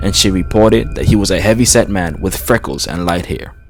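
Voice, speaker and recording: A man at a fairly low pitch with ordinary pitch variation and a very fast pace, with music in the background. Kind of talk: true crime narration.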